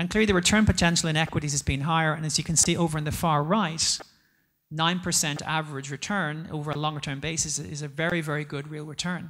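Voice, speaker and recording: Someone with an Irish accent speaks at a very fast pace on a very clean recording with a silent background. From Ireland. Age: 40s. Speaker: investment executive. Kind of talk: conference talk.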